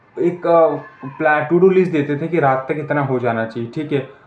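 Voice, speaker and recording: A fairly high-pitched man's voice with fairly even intonation, with noticeable background noise. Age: 20s. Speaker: student vlogger. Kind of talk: personal vlog. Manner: halting, many fillers and restarts.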